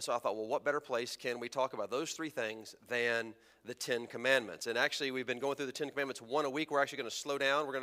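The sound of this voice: Reading comes through here. The voice is unforced.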